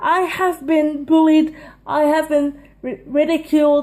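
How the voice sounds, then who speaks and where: A woman's extremely high voice at a moderate pace. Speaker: stand-up comedian. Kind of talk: casual vlog monologue. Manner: loud.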